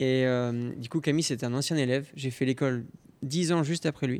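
A man's voice at medium pitch. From Normandy, France (Caen area). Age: 30s. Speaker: pastry chef. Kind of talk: interview. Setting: empty restaurant dining room.

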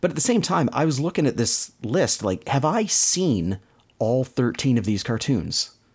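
A man talks at a moderate pace, his pitch swinging very widely. The recording is very clean, with a silent background. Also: medium pitch for a man, very even loudness. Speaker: podcast host. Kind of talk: casual chat.

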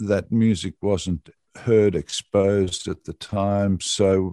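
The speaker has an Australian accent and a dark, mellow tone. The sound is dry and close with no echo, against a quiet background. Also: man. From Australia, Cooma, New South Wales. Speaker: radio presenter. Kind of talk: interview. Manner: halting, many fillers.

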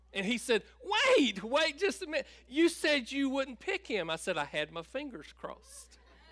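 With noticeable background noise behind him, a man with an American accent talks at a moderate pace with hardly any pauses, using an extremely high pitch and very wide pitch swings. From US South, North Carolina (Tabor City). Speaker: pastor. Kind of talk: sermon.

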